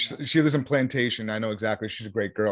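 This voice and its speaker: A man with an American accent speaks in an animated tone at a very fast pace, with ordinary pitch variation and a quiet background. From Vermont, US. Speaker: real estate investor. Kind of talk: interview.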